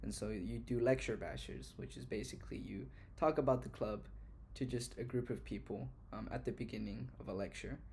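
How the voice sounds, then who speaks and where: Speaking at a fairly quick pace, a man is heard with audible room echo around him. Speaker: university student vlogger. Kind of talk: casual vlog monologue. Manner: fast; halting, with fillers and restarts.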